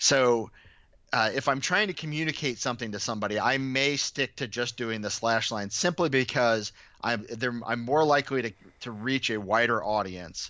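Speaking at a moderate pace, a man has a normal speaking voice at a medium pitch with ordinary pitch variation. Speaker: baseball statistician. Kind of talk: podcast interview.

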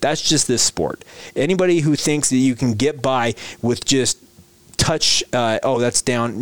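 This man has a plain, everyday voice, medium pitch with ordinary variation, and a moderate pace, captured with a dry, close sound and no echo. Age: 30s. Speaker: sports podcast host. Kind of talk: daily sports podcast monologue.

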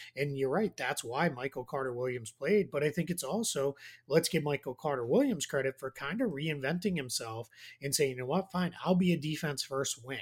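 Recorded very cleanly against a silent background, a man with an American accent speaks in a somewhat breathy voice. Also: fairly high pitch for a man, ordinary pitch variation. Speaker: basketball analyst. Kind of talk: casual chat.

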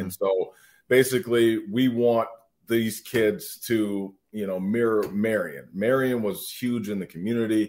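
The pace is fairly slow, in an American accent. It is an unremarkable speaking voice. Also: man. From Minnesota. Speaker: former college football player. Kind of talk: casual chat.

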